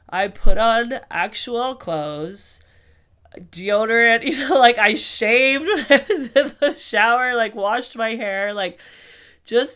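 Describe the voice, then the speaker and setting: Here a woman speaks at a very slow pace. Her voice sits at a fairly high pitch. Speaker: podcast host. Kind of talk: casual podcast talk.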